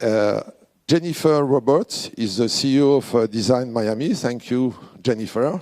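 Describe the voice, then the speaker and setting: With a French accent, a man speaks in a dark, mellow tone at a medium pitch and moderate pace, with ordinary pitch variation. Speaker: president of a design award organisation. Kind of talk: award ceremony speech. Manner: halting.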